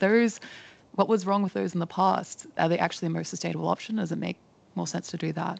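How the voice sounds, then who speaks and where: A woman's voice with an Australian accent. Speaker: postal company sustainability speaker. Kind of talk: panel Q&A answer.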